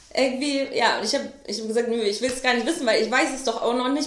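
A woman with a high pitch and ordinary pitch variation talks at a very fast pace, with audible room echo and noticeable background noise. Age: 20s. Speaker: rapper. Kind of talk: casual interview. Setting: home studio.

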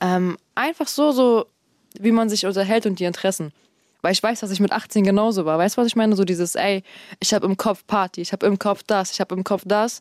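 A woman with a normal speaking voice talks at a fairly quick pace and medium pitch with ordinary pitch variation, dry and close with no echo on a very clean recording with a silent background. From Berlin, Germany. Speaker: rapper. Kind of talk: casual interview chat.

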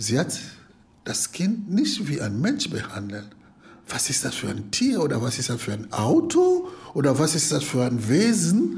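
Over noticeable background noise and audible room echo, a man with a fairly high pitch speaks at a fairly slow pace, his pitch swinging very widely. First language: not German (speaking German). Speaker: asylum seeker. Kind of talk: retelling a film story.

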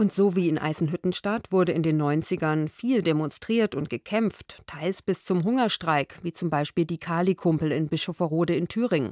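In a very clean recording with a silent background and a dry, close sound with no echo, a woman speaks in a plain, everyday voice. Her fairly low pitch shows ordinary variation at a moderate pace. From Hesse, western Germany. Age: 30s. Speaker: radio journalist. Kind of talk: scripted narration.

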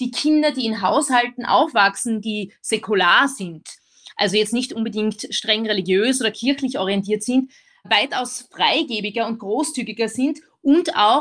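Fairly high in pitch, a woman with an unremarkable speaking voice talks at a moderate pace with ordinary pitch variation. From Austria. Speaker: philosopher and lecturer. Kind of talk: interview.

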